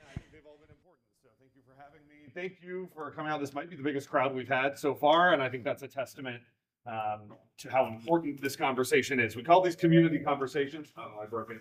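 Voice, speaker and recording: A man speaks at a very fast pace in a fairly high voice. His loudness swings widely. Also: ordinary pitch variation. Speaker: event moderator. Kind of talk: panel event moderation. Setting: live event with audience, streamed.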